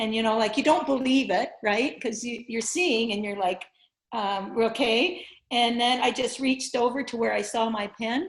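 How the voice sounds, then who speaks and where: In a very clean recording with a silent background, a woman with a fairly high pitch and an ordinary speaking voice talks at a moderate pace with ordinary pitch variation. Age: 60s. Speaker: blindfold vision teacher. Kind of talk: interview.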